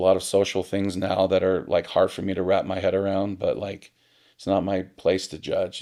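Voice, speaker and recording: Speaking at a moderate pace, a man talks with a Pacific Northwest accent. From Portland, Oregon. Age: 40s. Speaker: restaurant business owner. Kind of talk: podcast interview. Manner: casual, filler-heavy.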